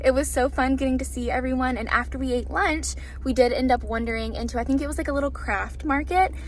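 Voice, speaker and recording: Noticeable background noise fills the recording along with audible room echo. Through it, a woman talks. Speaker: booktuber vlogger. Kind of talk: casual vlog talk to camera. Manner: chatty, upbeat.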